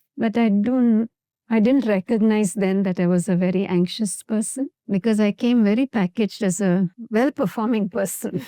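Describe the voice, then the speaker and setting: Her dark, mellow voice sits at a fairly high pitch for a woman, with ordinary pitch variation, very even loudness and a dry, close sound with no echo. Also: moderate pace. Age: 60s. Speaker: therapist. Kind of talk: podcast interview.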